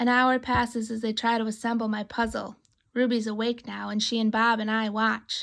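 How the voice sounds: With a quiet background, the clip holds a natural reading voice.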